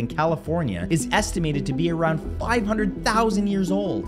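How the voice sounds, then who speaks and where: The man talks at a moderate speed. Clear music can be heard behind him. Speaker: online video host. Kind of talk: educational commentary. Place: home room.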